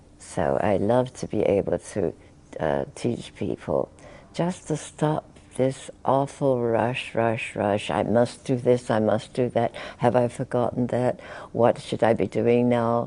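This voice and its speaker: A woman talks at a very slow pace with a very deep, low pitch and a dark, mellow tone. Vocal fry runs through her speech, and her intonation is lively. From England. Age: 80s+. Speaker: spiritual teacher. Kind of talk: interview answer.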